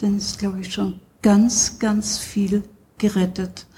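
A woman's voice comes across dark, mellow and somewhat breathy. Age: 70s. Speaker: psychosomatic medicine doctor. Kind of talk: interview. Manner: hesitant, many fillers.

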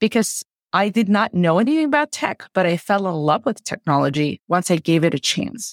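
A woman at a medium pitch swings very widely in pitch while keeping her loudness very even. The sound is dry and close with no echo, on a very clean recording with a silent background. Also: moderate pace. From Tajikistan. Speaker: tech executive and startup advisor. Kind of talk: interview.

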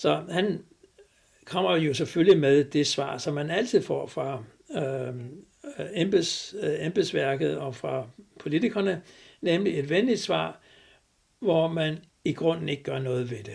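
A man with a fairly high pitch speaks very slowly with vocal fry, lively intonation and long, frequent pauses. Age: 80s+. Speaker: retired cardiologist and farming activist. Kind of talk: interview. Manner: hesitant, many filler sounds.

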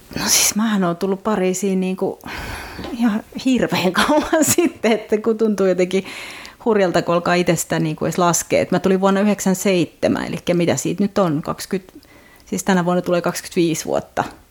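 Noticeable background noise behind a fairly slow pace and ordinary pitch variation. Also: woman, medium pitch for a woman. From Finland. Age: 40s. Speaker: novelist and translator. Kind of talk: casual interview.

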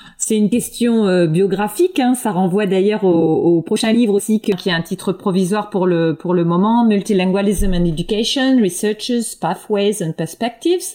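A woman with a dark, mellow tone and medium pitch speaks at a moderate pace with hardly any pauses. Her loudness stays very even, and her pitch varies in an ordinary way. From France, eastern Paris. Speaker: linguistics professor. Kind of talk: interview. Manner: halting, many repetitions and fillers.

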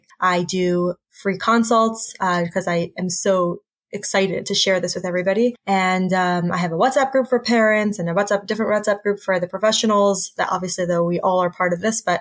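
An American accent carries through with hardly any pauses and fairly even intonation. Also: woman. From United States. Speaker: speech therapist and social worker. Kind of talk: interview.

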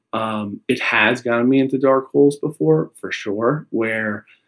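A man with an American accent talks at a fairly slow pace, at a medium pitch with ordinary pitch variation, in a plain, everyday voice. The sound is dry and close, with no echo. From New York, Long Island. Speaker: company founder. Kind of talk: interview.

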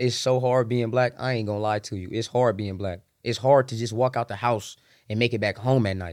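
Fairly quick, fairly even speech from a man at medium pitch, in a very clean recording with a silent background. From Southern California, San Bernardino. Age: 20s. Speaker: rapper. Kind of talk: casual chat.

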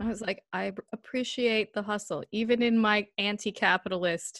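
A woman with an ordinary speaking voice talks at a moderate pace in a medium pitch with fairly even intonation. The sound is dry and close, with no echo. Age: 20s. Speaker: film and media studies graduate student. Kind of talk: casual chat.

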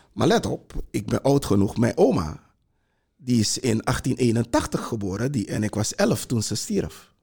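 Somewhat breathy, a man speaks at medium pitch with a dark, mellow tone. His pace is fairly slow and his intonation lively. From Suriname (Para district). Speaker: heritage institute director. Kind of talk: panel discussion. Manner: halting, many repetitions.

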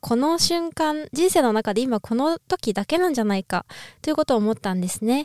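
At a moderate pace, the speaker uses lively intonation, and the sound is dry and close with no echo, in a very clean recording with a silent background. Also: woman. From Japan, Niigata. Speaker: ballet dancer and podcaster. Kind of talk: casual solo podcast talk. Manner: halting, many fillers.

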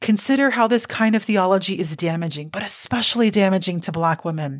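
A woman with a normal speaking voice, an American accent and a medium pitch talks fairly quickly with ordinary pitch variation, recorded very cleanly against a silent background. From Cuban American. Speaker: podcast host. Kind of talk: scripted narration.

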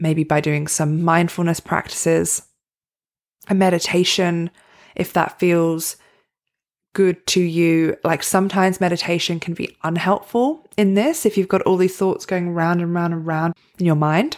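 Over a silent background in a very clean recording, a woman with an Australian accent speaks fairly slowly, her fairly low voice keeping a fairly even intonation. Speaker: podcast host and performance coach. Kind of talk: solo motivational talk.

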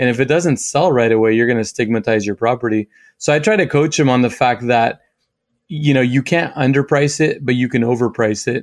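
In a very clean recording with a silent background, a man with an unremarkable speaking voice and medium pitch talks at a fairly quick pace with ordinary pitch variation and very even loudness. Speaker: real estate agent. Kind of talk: interview conversation.

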